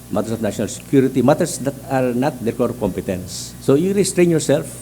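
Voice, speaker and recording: This man's medium-pitched voice carries lively intonation, with noticeable noise in the background. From Philippines, Mindanao. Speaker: judicial candidate, appellate justice. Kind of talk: job interview. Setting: hearing room. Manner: fast; halting.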